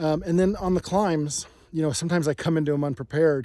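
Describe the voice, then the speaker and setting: At a very fast pace, a man with a dark, mellow tone and ordinary pitch variation speaks in a very clean recording with a silent background. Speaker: bike reviewer. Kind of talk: casual review monologue. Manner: hesitant, many fillers.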